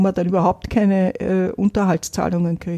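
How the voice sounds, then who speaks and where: Speaking at a fairly slow pace with fairly even intonation, a woman has a medium-pitched, dark, mellow voice, recorded dry and close with no echo against a quiet background. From Vienna, Austria. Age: 70s. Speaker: poverty activist, single mother. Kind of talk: interview, personal testimony.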